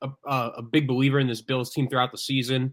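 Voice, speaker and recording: A man's ordinary speaking voice, fairly high in pitch, at a moderate pace. The recording is very clean with a silent background. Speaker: sports podcast co-host. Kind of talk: casual sports talk.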